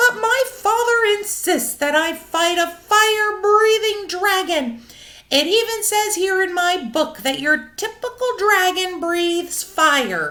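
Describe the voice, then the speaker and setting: A woman speaks in a squeaky, put-on character voice at an extremely high pitch, with lively intonation. Her pace is fairly slow, with hardly any pauses. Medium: read story. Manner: stammering, nervous.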